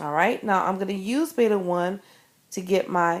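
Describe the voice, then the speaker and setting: A woman's plain, everyday voice at medium pitch with ordinary pitch variation. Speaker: math teacher. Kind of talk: tutorial. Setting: screencast recorded on an iPad.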